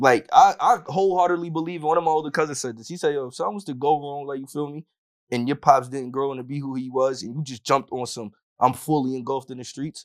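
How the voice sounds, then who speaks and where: Very fast and in a New York accent, a man speaks at a fairly high pitch with ordinary pitch variation and big swings in loudness. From Yonkers, New York. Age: 20s. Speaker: hip hop artist. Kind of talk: casual chat.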